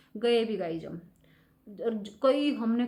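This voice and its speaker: Soft-spoken, the woman talks in a dark, mellow tone. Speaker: vlogger. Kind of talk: casual vlog chat. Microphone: no external mic, voice comes out quiet.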